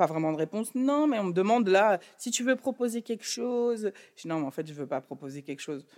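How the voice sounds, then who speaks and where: Someone speaks at a moderate pace in a normal speaking voice with lively intonation. The sound is dry and close with no echo. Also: woman. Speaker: record label executive. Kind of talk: interview conversation.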